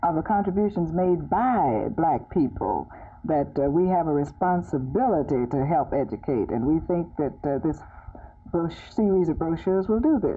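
A woman's fairly low voice at a moderate pace, with music in the background. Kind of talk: interview answer. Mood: calm, earnest. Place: home room. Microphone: old recording.

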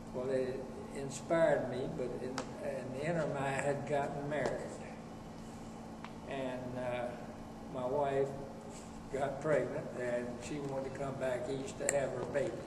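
Against noticeable background noise, a man speaks with long, frequent pauses. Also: fairly slow pace. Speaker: former Scout executive. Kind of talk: interview answer. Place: meeting room.

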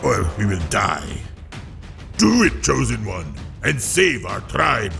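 A man's put-on character voice at a fairly slow pace, with clear music in the background. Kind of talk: video game trailer narration. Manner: dramatic, urgent.

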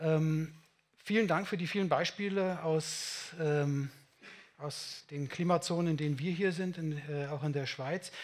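The man's intonation stays fairly level as he speaks. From Germany, Munich; Germany. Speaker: building physicist / climate engineer; invited lecturer. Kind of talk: conference talk. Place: meeting room. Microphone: headset.

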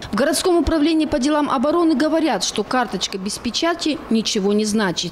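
A woman speaks with lively intonation at a fairly quick pace. Noticeable background noise runs behind her. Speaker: TV news reporter. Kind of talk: TV news report narration.

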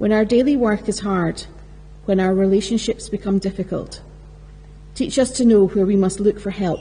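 Keeping a moderate pace and fairly even intonation, a woman speaks with long, frequent pauses. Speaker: lector reading scripture. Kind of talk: reading aloud scripture. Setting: church. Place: church. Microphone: podium.

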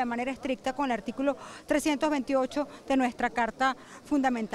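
Light background noise runs under a woman's high-pitched voice. She talks at a moderate pace, and the sound is dry with no echo. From Venezuela. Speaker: opposition politician. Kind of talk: press statement to reporters. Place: garden. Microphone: handheld.

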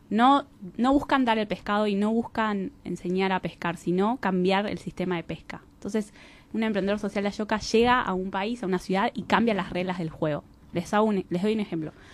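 A woman with a plain, everyday voice speaks at a medium pitch with ordinary pitch variation, the sound dry with no echo. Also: fairly quick pace. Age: 30s. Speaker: social enterprise organization representative; interview guest. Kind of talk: radio interview. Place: studio.

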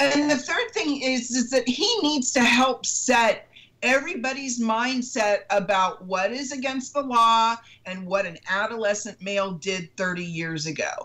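Over a quiet background, a woman talks at a fairly slow pace in a high pitch, her tone bright and sharp and her intonation lively. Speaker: citizen panelist; panelist. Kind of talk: casual political discussion. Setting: video call. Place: home room. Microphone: video call.

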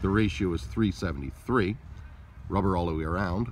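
A man's very deep, low voice with vocal fry and lively intonation at a fairly quick pace, in a dry sound with no echo and light background noise. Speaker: vehicle seller or appraiser. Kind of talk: product walkaround description. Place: open country. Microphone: phone near.

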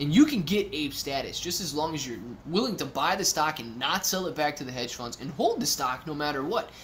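With an animated tone and lively intonation, a man talks at a fairly quick pace in a fairly high pitch, hardly pausing, over light background noise. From Ohio. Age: 30s. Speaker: YouTube stock streamer. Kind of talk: live stream chat reading. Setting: live stream from a temporary office. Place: home room. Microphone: webcam.

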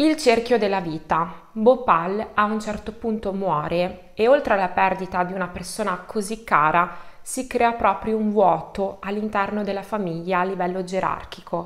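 Her pitch is medium and her pitch variation ordinary as this woman talks at a moderate pace with hardly any pauses. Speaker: online true crime storyteller. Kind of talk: true-crime narration, collaborative video. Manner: measured, suspenseful storytelling, explanatory. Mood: calm serious narration. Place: home room.

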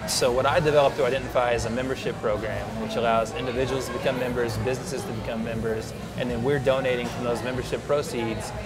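A man talks at a very fast pace. Loud music plays in the background. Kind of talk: interview answer. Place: cafe.

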